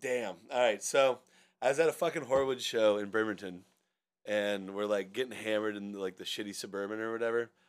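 In an American accent, a man with an unremarkable speaking voice talks at a fairly quick pace, his pitch fairly low with ordinary variation. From US Pacific Northwest, Seattle area. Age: 30s. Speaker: podcast co-host. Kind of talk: casual chat.

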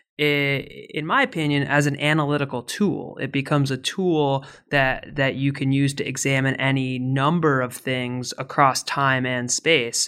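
A bright, sharp tone at a fairly slow pace, with monotone, flat intonation. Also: man, fairly high pitch for a man, hardly any pauses, very clean recording, silent background. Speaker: podcast host, history professor. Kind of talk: interview questions.

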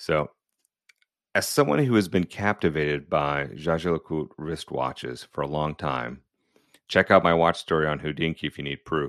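A man speaks with a very deep, low pitch and vocal fry, with ordinary pitch variation. The sound is dry and close with no echo, against a quiet background. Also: moderate pace. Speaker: podcast host and watch collector. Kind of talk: reading aloud with commentary.

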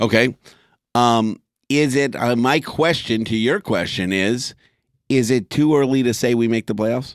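A man with a normal speaking voice at medium pitch, fairly slow pace, ordinary pitch variation and very even loudness, in a dry, close sound with no echo and a very clean recording with a silent background. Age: 40s. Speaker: sports podcast co-host. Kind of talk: casual chat.

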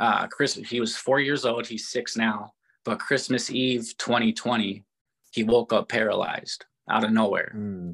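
A plain, everyday voice with an American accent, fairly even intonation and a fairly slow pace. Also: man, medium pitch for a man. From Minnesota. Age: 30s. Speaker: professional boxer. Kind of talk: interview.

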